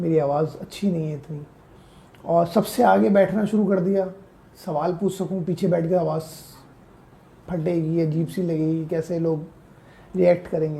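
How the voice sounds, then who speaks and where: A man's high-pitched voice, dark and mellow in tone, with fairly even intonation and long, frequent pauses. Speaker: personal branding coach. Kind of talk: podcast interview.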